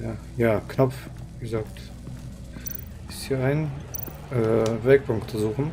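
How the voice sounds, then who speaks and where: The speech crawls at a very slow pace with long, frequent pauses and big swings in loudness over noticeable background noise. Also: man, medium pitch for a man, ordinary pitch variation. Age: 20s. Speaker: gaming streamer. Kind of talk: casual live gameplay commentary.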